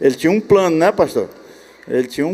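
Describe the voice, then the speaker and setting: This man's tone is dark and mellow. Ordinary variation shows in his pitch. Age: 80s+. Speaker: church elder. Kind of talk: conference talk conversation.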